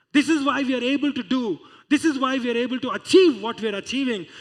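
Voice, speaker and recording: An extremely high-pitched man on a very clean recording with a silent background. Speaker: guest preacher. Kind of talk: church sermon. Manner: conversational, preaching.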